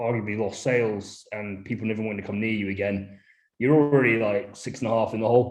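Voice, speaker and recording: A man talks fairly quickly, and the room echo is audible. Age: 30s. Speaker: brewery founder. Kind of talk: casual chat. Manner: halting.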